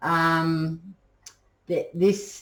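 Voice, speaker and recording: This woman's voice sits very deep and low, with ordinary pitch variation. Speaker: tarot reader. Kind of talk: tarot reading to camera. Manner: hesitant, many ums.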